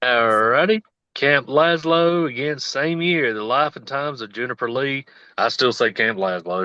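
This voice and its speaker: With a bright, sharp tone and a Southern US accent, the speaker moves at a moderate pace with lively intonation against a quiet background. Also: man, medium pitch for a man. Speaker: podcast host. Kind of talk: casual chat.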